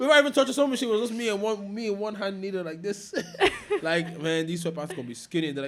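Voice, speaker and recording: A man talks loudly and very fast in a high voice, with an animated tone and lively intonation. Noticeable background noise runs underneath. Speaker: dancer and fashion creative. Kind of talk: casual chat.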